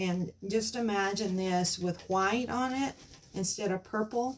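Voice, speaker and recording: A woman at a medium pitch and fairly slow pace, amid noticeable background noise. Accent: Southern US. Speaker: craft youtuber. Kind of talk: craft tutorial. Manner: halting, frequent um.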